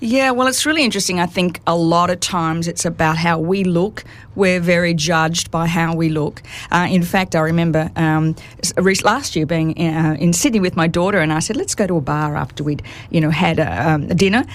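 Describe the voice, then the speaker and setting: There is noticeable background noise as a woman talks at a fairly quick pace. Her pitch is fairly low, with ordinary variation. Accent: Australian. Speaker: author and speaker on women over fifty. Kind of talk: radio interview. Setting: radio studio.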